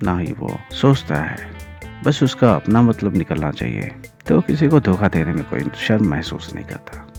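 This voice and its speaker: With music in the background, a man with a very deep, low voice swings widely in both pitch and loudness. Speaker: voiceover artist. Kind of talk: reflective podcast monologue.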